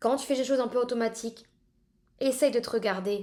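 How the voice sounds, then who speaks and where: A woman keeps a moderate pace and a fairly high pitch as she talks. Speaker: podcast host. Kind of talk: solo podcast monologue.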